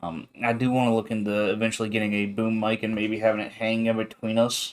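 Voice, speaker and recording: Monotone and flat, a man talks very fast at a medium pitch. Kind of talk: casual chat. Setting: livestream from a small home room. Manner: loud.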